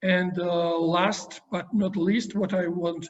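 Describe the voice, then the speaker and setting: Speaking with a Georgian accent, a man uses a high pitch and fairly even intonation. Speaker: university professor interviewer. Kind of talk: interview. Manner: halting.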